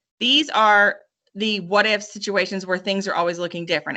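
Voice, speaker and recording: A woman talks very fast at a medium pitch. Her tone is bright and sharp, her intonation fairly even. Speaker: math teacher. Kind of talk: online lesson. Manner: casual.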